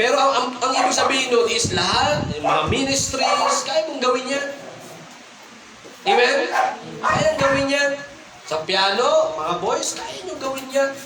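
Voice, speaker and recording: In a room with audible echo and noticeable background noise, a man uses a raised, projected voice at an extremely high pitch, with an animated tone, lively intonation, a fairly slow pace and long, frequent pauses. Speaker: pastor. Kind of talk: sermon. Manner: animated, call-and-response.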